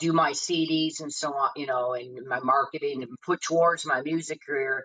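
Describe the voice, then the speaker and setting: A woman is speaking. Her tone is bright and sharp. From Detroit, US Midwest. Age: 60s. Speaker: blues singer. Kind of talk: podcast interview.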